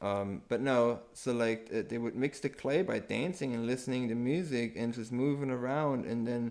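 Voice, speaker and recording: A man speaks with a German accent at a medium pitch. His pace is moderate and his pitch variation ordinary. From Germany. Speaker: permaculture enthusiast. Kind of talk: casual chat.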